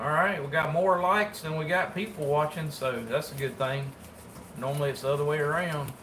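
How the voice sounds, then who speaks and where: A man's fairly high voice in an American accent, with audible room echo and noticeable background noise. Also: ordinary pitch variation, fairly quick pace. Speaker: taxidermist. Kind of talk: casual livestream chat while working. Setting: livestream. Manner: casual, colloquial.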